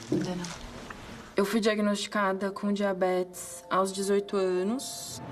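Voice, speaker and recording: A woman speaks at a fairly slow pace in a medium pitch with a monotone, flat intonation, while music plays in the background and room echo is audible. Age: 20s. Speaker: medical resident. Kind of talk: interview testimony.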